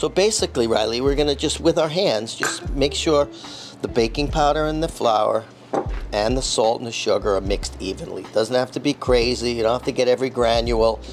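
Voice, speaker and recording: With music in the background, the man delivers his words at a fairly quick pace. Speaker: chef instructor. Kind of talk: tutorial. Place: kitchen. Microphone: lapel.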